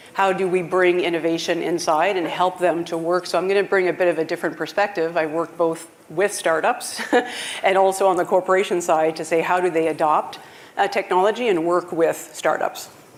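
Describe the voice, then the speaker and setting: Fairly quick, flat, monotone speech at very even loudness, with noticeable background noise. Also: woman, fairly low pitch for a woman. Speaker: startup CEO and founder, mentor. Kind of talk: panel discussion.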